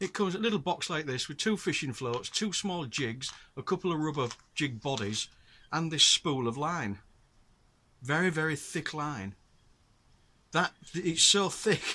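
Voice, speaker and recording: Fairly high-pitched man with a bright, sharp tone, lively intonation and a moderate pace broken by long, frequent pauses, on a very clean recording against a silent background. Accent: northern English. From northern England. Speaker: outdoors vlogger and angler. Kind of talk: casual talk to camera. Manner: halting with fillers.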